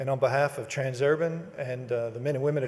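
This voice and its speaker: A man with a Texas accent at medium pitch and a very fast pace, over noticeable background noise. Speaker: toll road company executive. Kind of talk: ceremony speech. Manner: halting.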